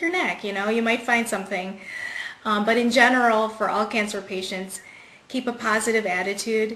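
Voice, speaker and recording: A woman's voice with fairly even intonation, audible room echo and noticeable background noise. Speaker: cancer survivor and singer. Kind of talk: interview.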